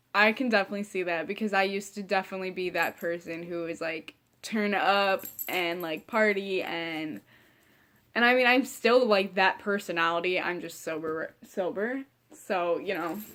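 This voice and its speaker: In a Midwestern American accent, a woman speaks at medium pitch and a moderate pace, animated with ordinary pitch variation. Her tone is bright and sharp, and the recording is very clean with a silent background. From Ohio. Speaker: vlogger. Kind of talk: casual chat. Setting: sitting in front of couch at home.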